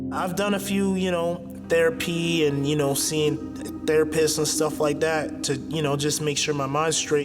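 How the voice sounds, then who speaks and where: With music in the background, a man speaks at a moderate pace in a fairly high pitch, his intonation fairly even. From Canada. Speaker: professional MMA fighter. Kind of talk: interview answer. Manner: casual, halting.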